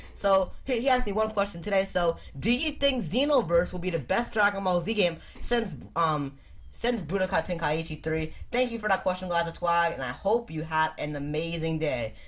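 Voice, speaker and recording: A woman with a somewhat breathy, fairly low voice. Her intonation is lively and her pace moderate. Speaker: gaming YouTuber. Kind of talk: casual Q&A vlog. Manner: stuttering, halting; hesitant, many ums.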